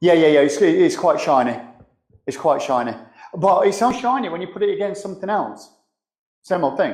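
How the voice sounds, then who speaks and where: At a fairly quick pace, a high-pitched man uses very wide pitch swings, with long, frequent pauses and audible room echo. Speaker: spray painter and show host. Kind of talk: live demonstration tutorial. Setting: live streamed workshop demo. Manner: loud; casual, conversational.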